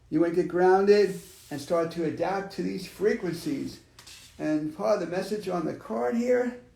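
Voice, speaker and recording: Amid noticeable background noise and audible room echo, a man with a high pitch talks at a moderate pace with lively intonation. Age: 50s. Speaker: psychic reader. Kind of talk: spiritual reading. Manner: conversational, halting.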